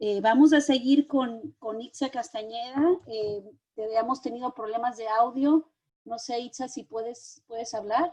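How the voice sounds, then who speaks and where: Fairly slow and high-pitched, a woman speaks in a dark, mellow tone with ordinary pitch variation and big swings in loudness. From Mexico. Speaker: moderator. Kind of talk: online panel moderation.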